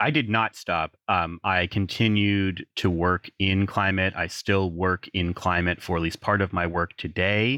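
The speech moves at a fairly slow pace with hardly any pauses, fairly even intonation and very even loudness. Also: man, very deep, low pitch for a man. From US, southwestern Pennsylvania. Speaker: climate professional, former youth activist. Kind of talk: interview.

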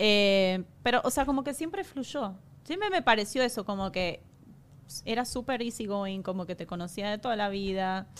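A woman with an Argentine accent at medium pitch. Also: ordinary pitch variation, moderate pace. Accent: Argentine Spanish (Rioplatense, voseo). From Argentina. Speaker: makeup artist. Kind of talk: casual chat.

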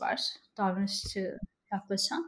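Somewhat breathy, this woman's voice moves at a fairly slow pace. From Turkey (Ankara, İzmir). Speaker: online community founder. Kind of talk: casual chat.

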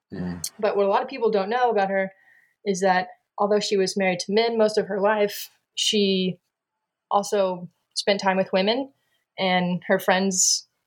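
Speaking at a moderate pace with long, frequent pauses, a woman with an American accent uses a medium pitch and monotone, flat intonation. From Texas, San Antonio. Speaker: comic artist and author. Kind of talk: interview.

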